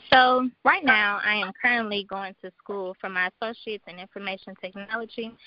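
A woman with a plain, everyday voice speaks at a fairly quick pace, her medium pitch moving with ordinary variation. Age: 20s. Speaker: web designer and entrepreneur. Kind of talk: casual interview chat.

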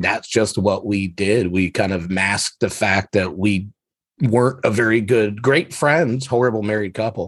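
A man with a normal speaking voice, fairly low in pitch, with ordinary pitch variation at a moderate pace. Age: 40s. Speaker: stand-up comedian. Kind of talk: casual chat.

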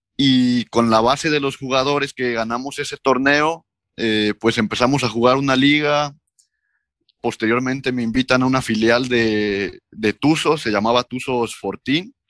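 In a very clean recording with a silent background and a dry, close sound with no echo, a man with an unremarkable speaking voice talks at medium pitch, fairly slowly, with fairly even intonation. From Mexico, Córdoba, Veracruz. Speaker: professional footballer. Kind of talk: interview.

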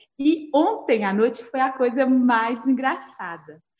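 A woman speaks with a high pitch. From Barbacena, Minas Gerais. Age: 40s. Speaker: schoolteacher. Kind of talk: casual group chat.

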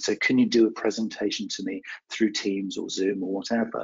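This is a man's voice. He speaks with a slight West Country accent. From West Country, England. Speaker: marketing trainer. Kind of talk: webinar lecture. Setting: webinar.

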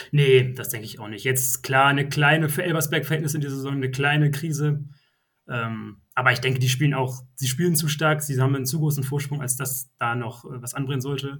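Fairly high for a man, this voice moves at a fairly quick pace with monotone, flat intonation and big swings in loudness. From Oldenburg, northern Germany. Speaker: football fan guest. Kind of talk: casual podcast interview.

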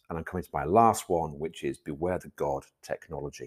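In a British accent at a moderate pace, the voice comes through on a very clean recording with a silent background. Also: man. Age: 50s. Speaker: school principal. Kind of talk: motivational monologue. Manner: halting.

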